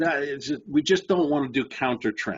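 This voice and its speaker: A man is speaking. His tone is animated. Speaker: trading educator. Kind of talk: webinar presentation.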